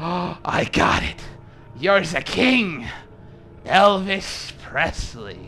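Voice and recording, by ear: A man uses a put-on character voice pitched high, speaking at a very slow pace with long, frequent pauses. Clear background noise runs under him.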